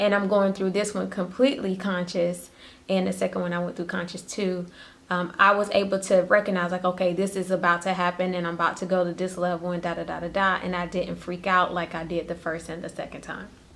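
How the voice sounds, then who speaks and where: A woman talks at a fairly quick pace with a medium pitch. Her intonation is monotone and flat. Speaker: spiritual vlogger. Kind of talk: impromptu solo vlog talk. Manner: stuttering at times; casual, conversational.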